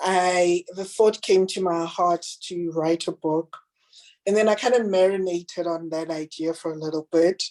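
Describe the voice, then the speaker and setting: Recorded dry and close with no echo, a woman with an unremarkable speaking voice talks at a moderate pace and fairly low pitch, with fairly even intonation. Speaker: children's book author. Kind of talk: book reading; interview.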